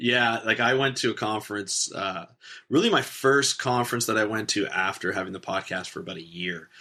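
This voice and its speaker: A man talks at a fairly quick pace with a Canadian accent, his tone bright and sharp and his pitch variation ordinary. The recording is very clean, with a silent background. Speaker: podcaster. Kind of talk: casual interview chat. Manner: halting, many restarts. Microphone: good podcast microphone, adds bass.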